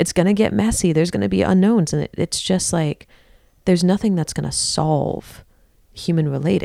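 This woman has an American accent and a fairly low pitch, speaking at a moderate pace. Her tone is dark and mellow, with very wide pitch swings. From Texas. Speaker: authentic relating teacher and founder. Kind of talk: guided relating exercise; casual interview conversation. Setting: studio in Brooklyn.

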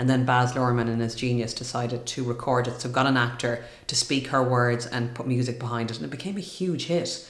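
A woman with a very deep, low pitch, talking at a fairly quick pace with ordinary pitch variation, amid noticeable background noise. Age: 40s. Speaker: TV presenter and speaker. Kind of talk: casual interview chat.

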